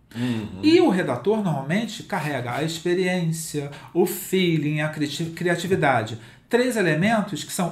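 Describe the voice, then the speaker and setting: A man with a high-pitched voice speaks at a fairly slow pace, with audible room echo around him. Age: 50s. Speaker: digital content writing specialist and author. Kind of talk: interview.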